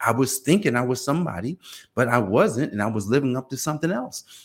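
The speaker is a man with an American accent. Vocal fry runs through his voice. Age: 50s. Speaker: podcast host, accountant. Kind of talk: motivational monologue. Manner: animated; repetitive restarts.

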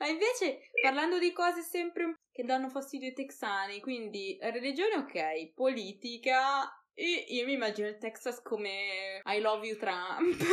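An animated woman's voice, high in pitch, with very wide pitch swings and a fairly slow pace. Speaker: podcast host. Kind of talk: casual chat. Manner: animated, laughing.

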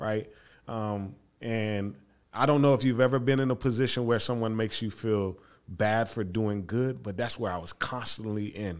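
A man with an American accent speaks in a plain, everyday voice at a moderate pace and medium pitch, with ordinary pitch variation, on a very clean recording with a silent background. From Florida, Haitian family. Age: 30s. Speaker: theology-trained community worker. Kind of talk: casual interview.

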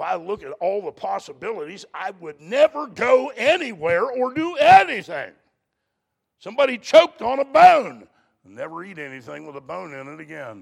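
The pace is moderate, with big swings in loudness. The pitch swings very widely. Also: man, high pitch for a man. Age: 60s. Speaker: preacher. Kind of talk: sermon. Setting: church with congregation.

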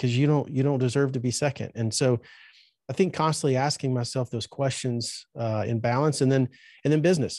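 Against a quiet background, a man talks at a fairly quick pace in a dark, mellow tone with fairly even intonation and a dry, close sound with no echo. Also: medium pitch for a man. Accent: Southern US. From Alabama, US South. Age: 40s. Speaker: trade school owner. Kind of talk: interview.

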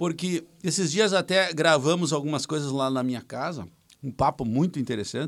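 Recorded very cleanly against a silent background, a man talks in an ordinary speaking voice at a moderate pace. His pitch is fairly high, with ordinary pitch variation. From Rio Grande do Sul, Brazil. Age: 40s. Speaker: musician and songwriter. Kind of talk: casual chat.

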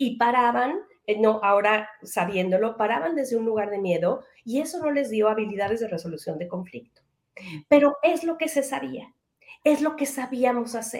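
A woman with a fairly high pitch, lively intonation and a moderate pace. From Mexico. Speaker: educator and parenting trainer. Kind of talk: interview.

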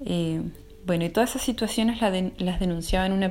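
Fairly even intonation marks this fairly quick delivery. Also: woman. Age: 30s. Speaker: social researcher and traditional midwife. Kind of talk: interview. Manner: halting with fillers.

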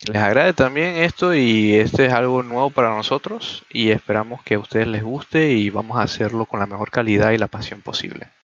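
A man talks at a fairly quick pace with hardly any pauses, his medium pitch showing ordinary variation in a plain, everyday voice. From Panama. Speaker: podcast co-host, software student. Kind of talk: casual chat.

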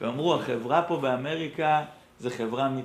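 A man talks at a moderate pace. His tone is animated. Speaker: rabbi and teacher at a pre-army academy. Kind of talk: lecture.

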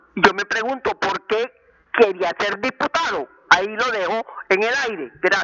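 Lively intonation from a woman at a medium pitch, fairly slow, over noticeable background noise. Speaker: elderly caller. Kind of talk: call-in comment.

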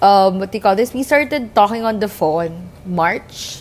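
At a moderate pace, a woman speaks at a medium pitch with lively intonation over noticeable background noise. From Philippines, Angeles. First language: Filipino. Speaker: podcast co-host. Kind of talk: casual chat.

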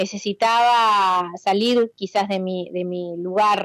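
In a Rioplatense accent, a woman of medium pitch speaks at a very slow pace with fairly even intonation. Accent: Argentine Spanish (rioplatense). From Argentina, Bahía Blanca. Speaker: cook and restaurant owner. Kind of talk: interview.

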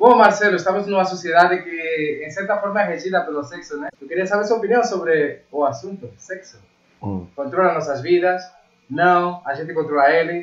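Speaking at a moderate pace, the man has a high pitch, ordinary pitch variation, and big swings in loudness. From Spain. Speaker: web show host. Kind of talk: show introduction and interview.

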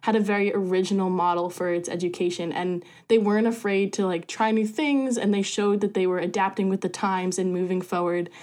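At a medium pitch and a fairly quick pace, a woman with an unremarkable speaking voice and ordinary pitch variation is heard on a very clean recording with a silent background. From US Northeast, rural New Jersey. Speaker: student orientation leader. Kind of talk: casual chat.

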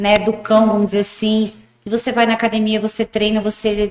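This woman's voice sits at a medium pitch and stays monotone and flat. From rural Paraguay, Brazilian family. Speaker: gym owner and former bodybuilder. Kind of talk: casual interview. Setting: studio.

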